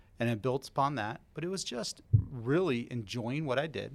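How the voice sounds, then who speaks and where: A man talks at a fairly quick pace in an American accent. He has an unremarkable speaking voice with ordinary pitch variation. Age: 40s. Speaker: mortgage loan officer. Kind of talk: interview.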